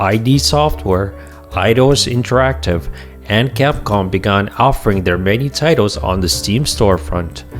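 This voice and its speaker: With music playing behind him, a man talks at a moderate pace, his pitch swinging very widely. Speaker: gaming video narrator. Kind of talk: documentary-style history narration.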